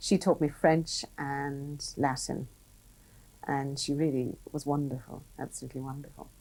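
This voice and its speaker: In an Irish accent, a woman speaks fairly slowly in a very deep, low, dark and mellow voice, monotone and flat, on a very clean recording with a silent background. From Ireland. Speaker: business executive. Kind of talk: interview.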